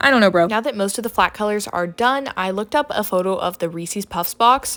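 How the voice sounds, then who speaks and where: Fairly quick speech in a very clean recording with a silent background. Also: woman. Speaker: art content creator. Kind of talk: voiceover narration of art process. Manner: fast; casual, filler-heavy.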